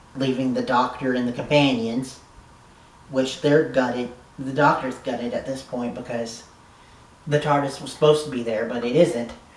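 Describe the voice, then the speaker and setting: A man speaks in a flat monotone at a moderate pace, with big swings in loudness, long and frequent pauses, audible room echo and noticeable background noise. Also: medium pitch for a man. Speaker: YouTube TV reviewer. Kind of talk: casual video review.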